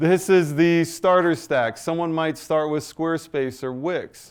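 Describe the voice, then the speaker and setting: In a very clean recording with a silent background, a man talks in a normal speaking voice at a moderate pace with ordinary pitch variation. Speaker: AI business owner and presenter. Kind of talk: business presentation.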